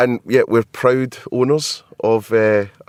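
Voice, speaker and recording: Heard in a dry, close sound with no echo, a man with a Scottish accent talks at a fairly slow pace. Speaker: podcast host. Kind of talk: casual interview chat. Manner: hesitant, many ums.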